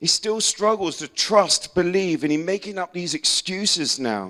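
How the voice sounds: Speaking at a fairly slow pace, a man uses a high pitch, lively intonation and a bright, sharp tone.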